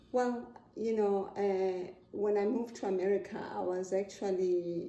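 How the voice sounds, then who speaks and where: A woman's medium-pitched voice in a South African accent, dark and mellow in tone, with fairly even intonation and audible room echo. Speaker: interviewee, parent. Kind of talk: interview.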